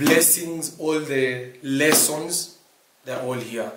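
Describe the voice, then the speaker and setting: A man talks at a very slow pace with a fairly high pitch. His pitch varies in an ordinary way, and there is noticeable background noise. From Kenya. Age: 20s. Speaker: vlogger. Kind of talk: casual chat. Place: home room.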